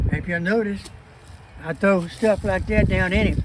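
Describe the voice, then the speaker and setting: A man speaking at a moderate pace, with noticeable background noise. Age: 80s+. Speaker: home gardener. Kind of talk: casual garden tour talk.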